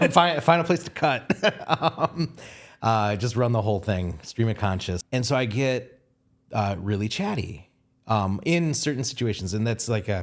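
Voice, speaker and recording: The recording is very clean, with a silent background. A man with a medium pitch talks in an animated tone with lively intonation. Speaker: photographer. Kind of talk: casual chat. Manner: fast.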